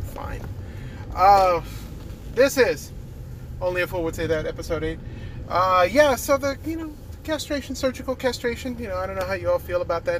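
The speech moves at a fairly quick pace, broken by long, frequent pauses. Noticeable background noise sits behind it. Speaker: podcast host. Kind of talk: casual monologue podcast. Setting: recorded while driving to work. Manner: humorous, rambling, with hesitations.

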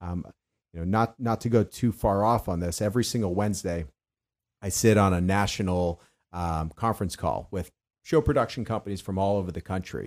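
A normal speaking voice talks at a fairly quick pace with ordinary pitch variation. The accent is American. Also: man, fairly low pitch for a man. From Boston, Massachusetts. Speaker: home show company president. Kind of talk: casual interview.

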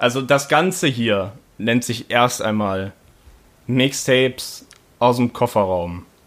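Speaking at a very slow pace, a man of medium pitch uses ordinary pitch variation and takes long, frequent pauses. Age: 20s. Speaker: podcast host and amateur rapper. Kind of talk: casual chat.

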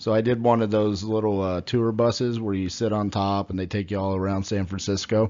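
Speaking with an American accent, a man of fairly low pitch moves at a fairly quick pace with hardly any pauses. His intonation is monotone and flat. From Texas, Fort Worth. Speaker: podcast host, real estate. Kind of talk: interview.

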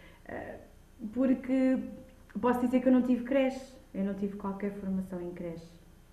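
A woman's high pitch at a moderate pace, with audible room echo and noticeable background noise. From Lisbon, Portugal. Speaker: childminder and early childhood educator. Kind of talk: podcast interview.

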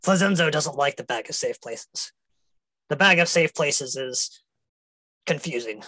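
A gruff, put-on character voice moves at a moderate pace. Long pauses come often. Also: man, fairly high pitch for a man. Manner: gruff, wary, speaks of himself in third person.

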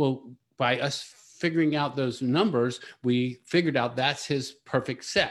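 At a moderate pace and medium pitch, a man talks with a plain, everyday voice, his pitch varying in an ordinary way. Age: 60s. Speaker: business consultant. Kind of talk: interview. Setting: live stream.

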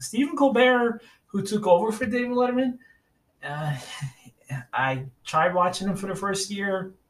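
A man's high-pitched voice at a moderate pace, with lively intonation and long, frequent pauses. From New York City, Staten Island. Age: 40s. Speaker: podcast host. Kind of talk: solo podcast monologue. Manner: casual, hesitant with fillers.

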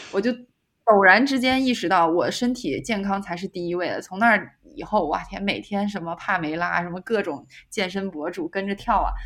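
This woman has an unremarkable speaking voice, pitched in the medium range and delivered at a moderate pace with ordinary pitch variation. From China, Xi'an. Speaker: working holiday traveller, restaurant owner. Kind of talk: casual chat.

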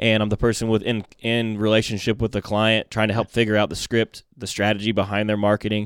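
This is a man speaking. He talks with an American accent. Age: 30s. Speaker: marketing business owner. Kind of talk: casual interview.

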